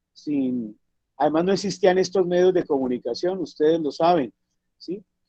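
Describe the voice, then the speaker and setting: A man speaks in a high pitch. He keeps a moderate pace. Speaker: traditional cook and cultural activist. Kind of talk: talk in online discussion.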